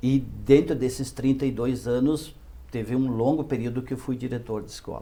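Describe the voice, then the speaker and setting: His loudness swings widely. The man speaks with monotone, flat intonation. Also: medium pitch for a man, moderate pace. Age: 60s. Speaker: city councillor, former teacher. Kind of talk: interview. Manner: halting.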